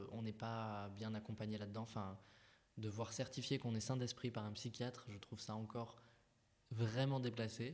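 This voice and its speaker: Delivered at a moderate pace, the speech is monotone and flat, broken by long, frequent pauses. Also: man. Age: 20s. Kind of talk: testimony. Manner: halting.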